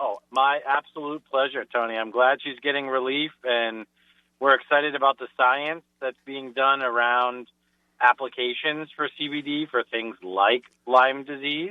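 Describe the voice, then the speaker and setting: This man speaks at a fairly slow pace with a Rhode Island accent, a medium pitch and fairly even intonation. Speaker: business sponsor. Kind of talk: casual chat. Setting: phone call.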